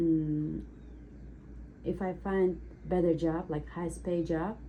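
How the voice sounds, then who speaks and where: With an Uzbek accent, a woman speaks at a very slow pace amid audible room echo. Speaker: cake decorator taking a mock speaking test. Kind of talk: mock language exam answers. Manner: halting.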